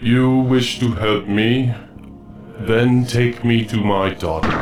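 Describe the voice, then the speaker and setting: Putting on a character voice, a man speaks at medium pitch and a fairly slow pace with fairly even intonation and very even loudness, clear background noise behind him. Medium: video game. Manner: solemn, grave.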